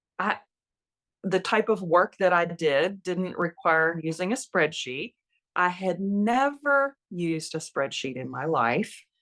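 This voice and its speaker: A woman speaks very slowly with lively intonation and a fairly low pitch. The recording is very clean, with a silent background. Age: 60s. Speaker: retired nurse, podcast guest. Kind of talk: interview conversation. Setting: podcast interview.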